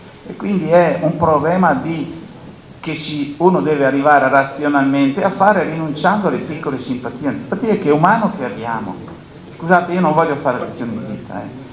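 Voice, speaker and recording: A man talks fairly quickly at a fairly high pitch, with lively intonation. Noticeable background noise and audible room echo are present. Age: 70s. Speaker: grain dryer operator and agricultural speaker. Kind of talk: panel talk at a conference.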